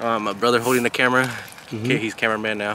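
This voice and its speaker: There is light background noise behind this man's voice. The sound is dry, with no echo. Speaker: vlogger. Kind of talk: casual vlog chat. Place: open country. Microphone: phone near.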